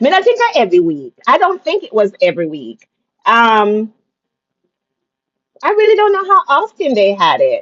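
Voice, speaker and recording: A woman with a Jamaican accent speaks with long, frequent pauses. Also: moderate pace. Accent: Jamaican, with patois. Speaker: storyteller recounting her childhood. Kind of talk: casual conversational interview.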